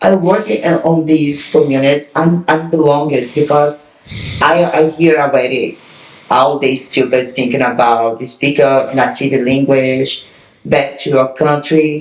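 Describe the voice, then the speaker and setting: Noticeable noise runs in the background. The speaker talks at a fairly slow pace with a Portuguese accent. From Brazil. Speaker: podcast co-host and fitness trainer. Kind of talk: casual chat.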